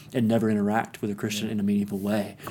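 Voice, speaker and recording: With an East Tennessee accent, a man talks at a very fast pace. His fairly low voice stays monotone and flat. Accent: Southern US (East Tennessee). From US South, East Tennessee (Kingsport). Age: 30s. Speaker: pastor. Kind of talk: interview. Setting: sitting together in the guest's neighborhood.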